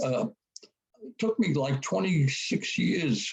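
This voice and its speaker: A man's somewhat breathy, fairly high-pitched voice. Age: 80s+. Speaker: war veteran. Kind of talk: casual chat.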